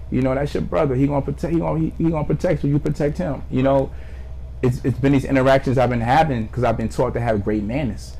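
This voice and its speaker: A man with an American accent, talking at a very fast pace over noticeable background noise. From New Jersey, Neptune / Asbury Park. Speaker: artist. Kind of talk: casual interview conversation.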